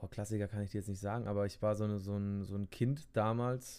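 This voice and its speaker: Speaking at a moderate pace, a man with a fairly low pitch has an unremarkable speaking voice and fairly even intonation. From Bavaria, Germany. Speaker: podcast co-host. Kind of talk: casual chat.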